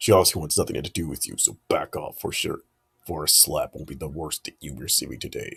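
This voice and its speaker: A man puts on a character voice. He talks at a fairly quick pace. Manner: imitating a Japanese voice actor.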